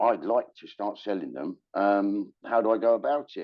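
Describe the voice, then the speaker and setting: With a London accent, a man speaks at a fairly slow pace in a fairly low pitch with ordinary pitch variation. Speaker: shoemaker and shoe retailer. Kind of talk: interview storytelling. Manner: hesitant with fillers.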